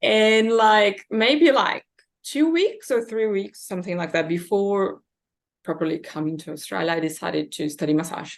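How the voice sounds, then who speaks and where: Against a quiet background, a woman with a Brazilian Portuguese accent talks at a moderate pace, her medium pitch swinging very widely. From Brazil, São Paulo. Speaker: massage therapist. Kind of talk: interview.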